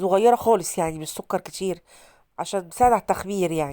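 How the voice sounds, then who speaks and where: Speaking at a fairly quick pace, a woman with a dark, mellow tone uses lively intonation in a very clean recording with a silent background. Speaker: cooking vlogger. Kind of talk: tutorial. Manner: casual.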